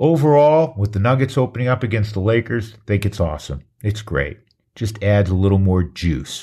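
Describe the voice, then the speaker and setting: A man with a fairly low, dark, mellow voice speaks at a fairly quick pace, somewhat breathy, with lively intonation and very even loudness, in a very clean recording with a silent background. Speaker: podcast host. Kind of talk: casual sports talk podcast.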